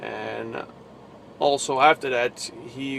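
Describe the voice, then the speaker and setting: An American accent comes through as a man speaks. There is noticeable background noise. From New Jersey. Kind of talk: casual religious vlog. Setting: in a truck. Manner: halting.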